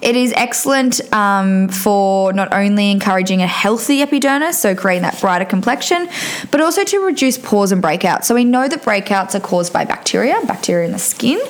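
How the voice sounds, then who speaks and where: Against noticeable background noise, a woman talks at a fairly quick pace with hardly any pauses. Her pitch is medium, her intonation is lively, and her loudness stays very even. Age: 20s. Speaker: podcast host, nurse and cosmetic injector. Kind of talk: solo beauty podcast monologue. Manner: casual with many fillers.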